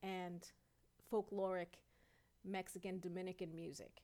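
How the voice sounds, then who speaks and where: A woman with a New York accent speaks at a medium pitch. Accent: New York City. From New York City, Queens and Brooklyn. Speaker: singer, dancer and author. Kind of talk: interview.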